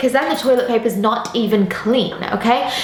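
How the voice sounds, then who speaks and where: Noticeable background noise is present. A woman speaks at a moderate pace in an English accent. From England. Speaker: football presenter. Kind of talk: casual Q&A. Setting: outdoors on a rooftop.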